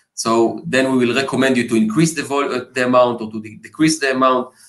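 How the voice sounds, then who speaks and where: A man with a non-native accent talks at a fairly quick pace. His medium-pitched voice shows ordinary pitch variation. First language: not English. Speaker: marketing executive. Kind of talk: interview. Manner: hesitant, many fillers.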